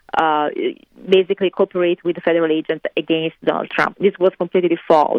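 A woman speaks in monotone, flat intonation at a fairly low pitch. Her pace is fairly quick. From Italy. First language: Italian. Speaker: interview guest, fashion designer. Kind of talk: interview. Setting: remote call from California.

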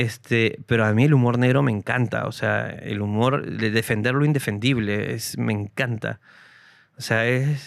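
On a very clean recording with a silent background, a man with a plain, everyday voice speaks at a fairly slow pace and medium pitch, with fairly even intonation. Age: 30s. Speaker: comedian. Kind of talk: casual chat.

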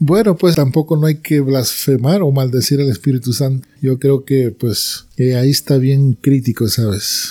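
A man's somewhat breathy, dark, mellow voice, fairly high in pitch with ordinary variation, at a fairly slow pace with hardly any pauses and very even loudness. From Peru. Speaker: church member giving testimony. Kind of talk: religious conversation.

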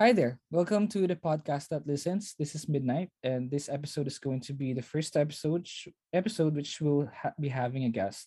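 Speaking in a Filipino accent, the voice moves at a fairly quick pace with hardly any pauses. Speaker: podcast host. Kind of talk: scripted intro and outro.

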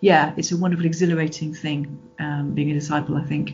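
A woman with a British accent. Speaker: Baptist minister and Bible scholar. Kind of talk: interview.

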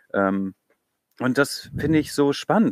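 With a normal speaking voice, a man talks in a fairly high pitch with lively intonation, the sound dry and close with no echo. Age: 30s. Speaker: church youth leader. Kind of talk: casual chat. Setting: outdoors, in a garden.

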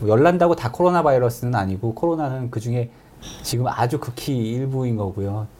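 A man speaks fairly quickly in a mid-range pitch with ordinary variation. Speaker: infectious disease professor. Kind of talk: expert Q&A interview. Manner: hesitant, measured.

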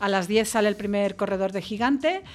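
A woman's unremarkable speaking voice at medium pitch and a fairly quick pace. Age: 50s. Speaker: foundation vice-president. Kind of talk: radio interview. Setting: radio studio.

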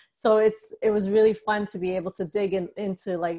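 Speaking at a fairly quick pace, a woman with an American accent uses a monotone, flat intonation. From US Northeast, New York City (the Bronx). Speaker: author. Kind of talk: casual interview.

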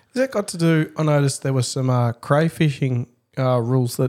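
At a fairly quick pace, a man with an Australian accent speaks in a fairly high pitch with a dark, mellow tone and ordinary pitch variation. The recording is very clean over a silent background. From suburban Melbourne, Australia. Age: 30s. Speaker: fishing podcast co-host. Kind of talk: casual chat. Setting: studio.

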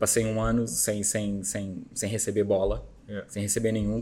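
In a room with audible echo, a man talks at a fairly slow pace. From Azores, Terceira island. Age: 40s. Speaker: company founder. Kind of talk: casual interview. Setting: studio. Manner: repeats words, halting.

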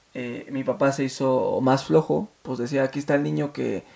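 At a moderate pace, a man talks with medium pitch and ordinary pitch variation. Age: 30s. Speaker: podcast host. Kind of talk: personal monologue. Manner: hesitant, many fillers.

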